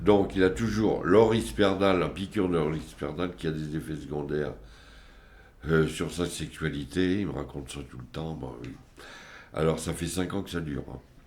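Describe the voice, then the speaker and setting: Very deep and low with vocal fry, a man speaks at a moderate pace with ordinary pitch variation, long, frequent pauses, and audible room echo. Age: 70s. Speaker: family member of psychiatric patients. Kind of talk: testimony. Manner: halting.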